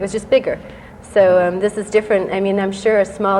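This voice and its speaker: The speaker goes at a fairly quick pace in a monotone, flat delivery, with noticeable background noise. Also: woman. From England, moved away around age six.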